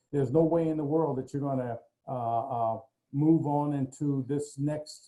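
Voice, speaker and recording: Music sounds in the background. A man speaks over it at a moderate pace. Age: 70s. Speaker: motivational speaker. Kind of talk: panel discussion on a video call.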